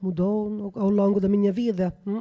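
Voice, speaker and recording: A woman with an Italian accent speaks at a medium pitch in a dark, mellow tone. The background is quiet. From Italy. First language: Italian (speaking Portuguese). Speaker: researcher. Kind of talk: panel discussion. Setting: radio studio. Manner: halting, many fillers.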